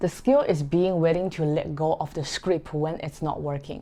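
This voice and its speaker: In a non-native accent, a woman with a dark, mellow tone and fairly low pitch speaks at a moderate pace. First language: not English. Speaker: photographer, vlogger. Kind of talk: talking-head vlog.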